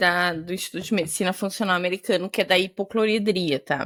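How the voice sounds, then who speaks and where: An animated speaker with a southern Brazilian accent comes through on a very clean recording over a silent background. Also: woman. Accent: gaúcho Brazilian Portuguese. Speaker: gastroenterologist, podcast co-host. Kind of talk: casual chat. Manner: fast.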